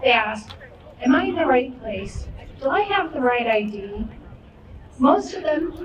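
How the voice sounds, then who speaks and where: Very slow speech with very wide pitch swings comes through audible room echo and noticeable background noise. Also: woman. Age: 80s+. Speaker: election worker. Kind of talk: rally speech.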